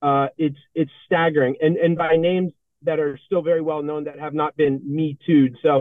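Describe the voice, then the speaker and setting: A man with an American accent talks at a moderate pace and fairly high pitch. He has a plain, everyday voice. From Massachusetts. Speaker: political commentator and former entertainment lawyer. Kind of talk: political interview.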